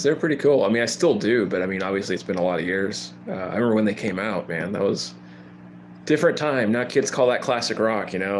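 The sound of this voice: A man talks at a fairly quick pace, his pitch varying in an ordinary way.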